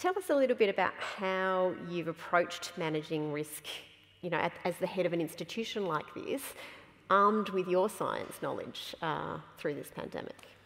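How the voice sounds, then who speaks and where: A woman talks at a moderate pace with an Australian accent and a fairly low pitch. Her voice has vocal fry and ordinary pitch variation. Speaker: event moderator, science organisation chief; event moderator. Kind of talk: moderated public conversation. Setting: stage with audience. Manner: animated. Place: stage.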